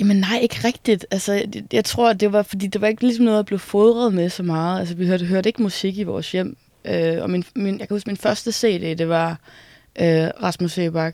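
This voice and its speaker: A woman's medium-pitched, dark, mellow voice with ordinary pitch variation at a moderate pace. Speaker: musician. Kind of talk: casual interview. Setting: music venue building.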